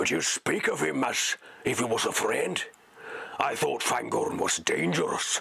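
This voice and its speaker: At a moderate pace, a man puts on a raspy character voice. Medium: read story. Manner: blunt, wary.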